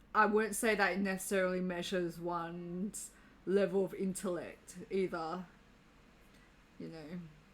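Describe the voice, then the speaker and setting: This woman talks with an Australian accent. Her pace is moderate and her pitch medium. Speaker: livestreamer. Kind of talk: casual chat. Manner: halting.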